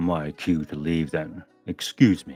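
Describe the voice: Using a put-on, gruff character voice, a man speaks very deep and low at a fairly slow pace, with faint music in the background.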